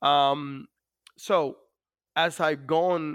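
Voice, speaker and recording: This man has a fairly high pitch and a Dominican accent. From Dominican Republic. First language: Spanish. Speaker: navy master chief, war veteran. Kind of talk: interview. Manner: hesitant, many fillers.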